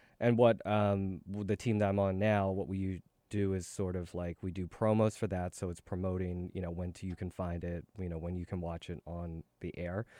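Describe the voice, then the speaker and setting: In an American accent, a man speaks at a moderate pace with a very deep, low pitch, a dark, mellow tone and monotone, flat intonation. The recording is very clean with a silent background and a dry, close sound with no echo. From Philadelphia. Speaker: TV producer and stand-up comedian. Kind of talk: casual interview. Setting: studio. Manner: hesitant, many fillers.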